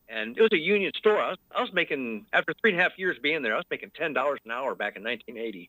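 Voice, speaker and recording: A man with a fairly high voice speaks very fast with hardly any pauses, his pitch swinging very widely. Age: 60s. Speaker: caller. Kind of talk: call-in conversation. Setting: phone call. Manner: halting, many fillers.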